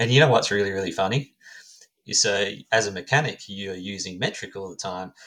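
A man with an Australian accent, a fairly low pitch, a bright, sharp tone, ordinary pitch variation and big swings in loudness. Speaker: knife maker. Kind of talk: casual chat. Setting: video call.

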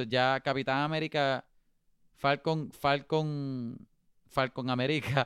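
Against a quiet background, a man with a normal speaking voice and a fairly high pitch talks at a fairly slow pace. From Puerto Rico. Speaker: podcast co-host. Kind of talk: casual chat.

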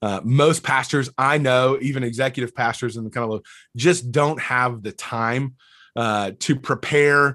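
Quiet surrounds the voice. The accent is Southern US. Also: man. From US South, North Alabama. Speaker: church leadership consultant. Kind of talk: interview.

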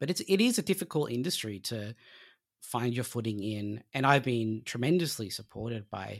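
A man with an Australian accent at a moderate pace, the sound dry and close with no echo, on a very clean recording with a silent background. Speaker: comic book writer. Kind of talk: interview.

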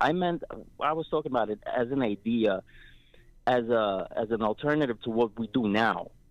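A man speaks at a moderate pace in a plain, everyday voice. His pitch is medium, with ordinary pitch variation. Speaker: caller. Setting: phone call.

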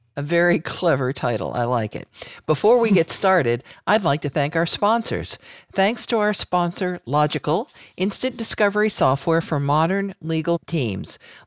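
A normal speaking voice with lively intonation moves at a moderate pace, recorded dry and close with no echo against a silent background. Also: woman. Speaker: podcast host. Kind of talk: casual professional discussion.

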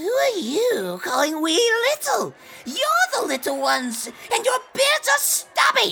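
Someone puts on a character voice pitched high. The delivery is fairly slow. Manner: offended, haughty.

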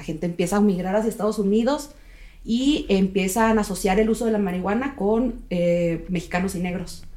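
The woman's dark, mellow tone carries ordinary pitch variation at a moderate pace. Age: 30s. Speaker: nun and cannabis legalization activist. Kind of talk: casual interview chat.

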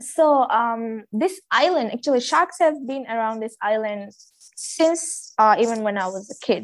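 A woman at a fairly high pitch with a Maldivian accent, lively intonation, big swings in loudness and a fairly slow pace, in a very clean recording with a silent background. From Maldives. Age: 20s. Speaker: dive master. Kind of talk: casual chat.

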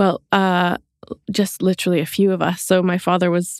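In a Canadian accent, a woman with a normal speaking voice talks at a moderate pace and medium pitch, the sound dry and close with no echo on a very clean recording with a silent background. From Canada. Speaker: chocolate maker and baker. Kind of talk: casual interview chat.

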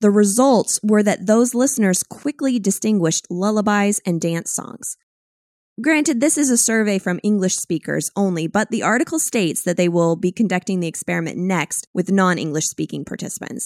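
A woman speaks in an ordinary speaking voice at medium pitch and a moderate pace with lively intonation, the sound dry and close with no echo. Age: 30s. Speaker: podcast host and sound branding producer. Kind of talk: scripted narration.

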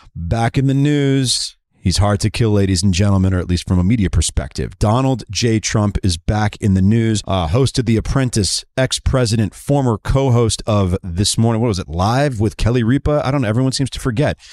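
A man with a normal speaking voice, fairly low pitch and ordinary pitch variation, fairly quick with hardly any pauses, on a very clean recording with a silent background and a dry, close sound with no echo. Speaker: podcast host. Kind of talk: interview and news commentary.

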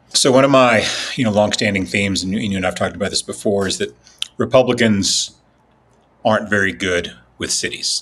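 A man with a fairly low pitch and vocal fry talks at a fairly quick pace with lively intonation. Long, frequent pauses break up his speech. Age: 50s. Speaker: political writer. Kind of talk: casual chat.

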